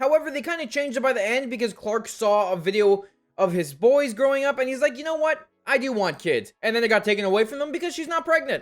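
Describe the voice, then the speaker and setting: A man's extremely high voice, animated in tone, with lively intonation and a very fast pace. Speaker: TV show reviewer. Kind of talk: video review commentary.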